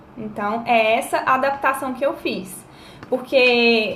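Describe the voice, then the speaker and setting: Audible room echo surrounds the speaker. There is also noticeable background noise. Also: woman. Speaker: life coach. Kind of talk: live-stream talk to viewers, advice. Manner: casual, chatty.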